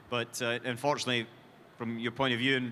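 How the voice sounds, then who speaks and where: A man with a Scottish accent, medium pitch, bright, sharp tone and monotone, flat intonation. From Scotland. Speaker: motorsport team executive. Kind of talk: Q&A on stage. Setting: stage with audience.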